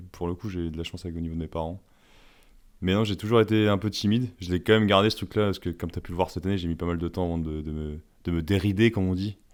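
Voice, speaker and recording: A man speaks at a very fast pace with a very deep, low pitch and fairly even intonation. The recording is very clean, with a silent background. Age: 30s. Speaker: podcast guest. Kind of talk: casual interview.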